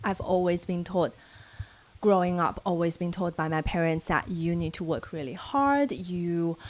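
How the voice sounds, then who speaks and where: A woman with a Chinese accent speaks at a fairly low pitch. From China. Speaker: social worker and vlogger. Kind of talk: casual advice vlog.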